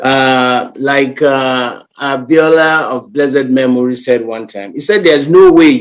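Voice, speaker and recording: A man speaks at a fairly slow pace. He has an ordinary speaking voice with ordinary pitch variation. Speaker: guest representing a community organization. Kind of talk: radio interview answer.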